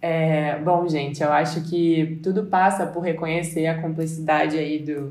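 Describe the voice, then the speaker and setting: With audible room echo, a woman speaks at a fairly slow pace in a very deep, low pitch with monotone, flat intonation. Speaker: podcast host. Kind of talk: casual chat.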